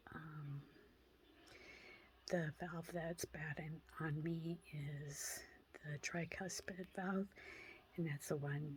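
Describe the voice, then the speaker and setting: A quiet woman speaks at a very slow pace with a very deep, low pitch. Her somewhat breathy delivery is monotone, with flat intonation. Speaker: vlogger sharing health update. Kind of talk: personal vlog update. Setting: at home. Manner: quiet, hushed; halting, many fillers.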